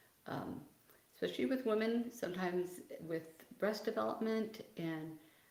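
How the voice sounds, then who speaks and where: This woman speaks at a medium pitch. Her pace is moderate. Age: 60s. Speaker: physical therapist. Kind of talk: livestream Q&A. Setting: video livestream. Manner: loud.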